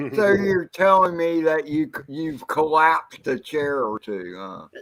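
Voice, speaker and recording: Big swings in loudness and lively intonation mark a man's unremarkable speaking voice, pitched fairly high and moving at a fairly slow pace. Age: 60s. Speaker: livestream panelist. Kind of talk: casual chat.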